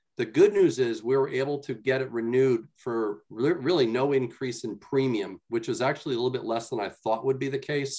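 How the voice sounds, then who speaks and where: Man's voice at a fairly quick pace with ordinary pitch variation, quiet background. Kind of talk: meeting report. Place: home room. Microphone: video call.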